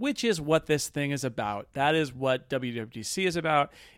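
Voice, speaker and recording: A man with a normal speaking voice uses lively intonation at a fairly high pitch. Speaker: podcast host. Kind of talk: casual chat. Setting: live event, table in room.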